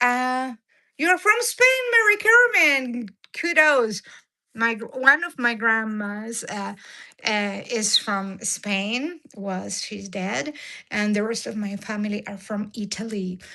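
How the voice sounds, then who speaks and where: A voice with an Argentine accent and a bright, sharp tone speaks at a very slow pace, with big swings in loudness. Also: woman, fairly high pitch for a woman, lively intonation. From Argentina. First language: Spanish. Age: 60s. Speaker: diet and cooking vlogger. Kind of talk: live stream chat with viewers. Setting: live stream. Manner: halting with many fillers.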